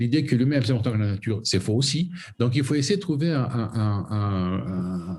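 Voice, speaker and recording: A man talks at a medium pitch and a moderate pace. His somewhat breathy voice carries lively intonation. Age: 60s. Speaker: foundation president. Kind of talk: interview. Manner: halting.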